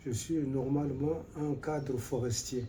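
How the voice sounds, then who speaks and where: A man speaks in a monotone, flat intonation with a dark, mellow tone that is somewhat breathy. There is audible room echo. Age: 80s+. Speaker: retired forestry official. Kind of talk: interview. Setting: at his home.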